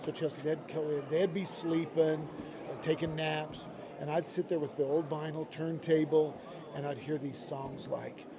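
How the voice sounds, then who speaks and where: Monotone, flat intonation with an American accent at a moderate pace, plus noticeable background noise. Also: man. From Idaho, US. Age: 60s. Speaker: music industry executive. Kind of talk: interview. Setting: live at a convention.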